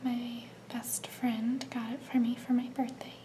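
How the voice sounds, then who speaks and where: A woman's high-pitched voice in a relaxed tone, against noticeable background noise. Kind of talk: ASMR soft-spoken show-and-tell to camera. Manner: soft-spoken, slow, relaxed.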